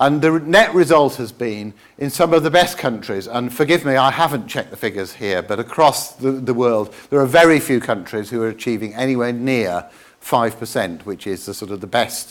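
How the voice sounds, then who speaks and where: With a British accent, a man speaks at a moderate pace. His medium pitch carries lively intonation. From England. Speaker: president of an accessible-books organisation. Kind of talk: conference talk. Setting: conference stage with audience. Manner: hesitant with many fillers.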